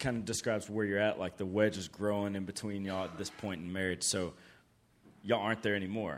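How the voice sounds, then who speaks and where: In a Southern US accent, the voice moves at a fairly quick pace with fairly even intonation. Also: man. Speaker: camp staff member introducing speakers and praying.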